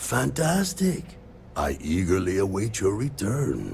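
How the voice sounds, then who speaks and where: This is a put-on character voice at a fairly slow pace. Background noise is clearly audible. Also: man, fairly low pitch for a man. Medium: video game. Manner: polite, measured.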